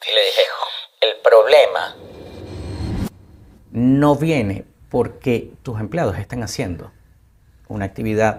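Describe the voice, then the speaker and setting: Long, frequent pauses break up this man's very slow delivery. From Venezuela. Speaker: actor, TV host, broadcaster and publicist, interview guest. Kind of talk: interview answer.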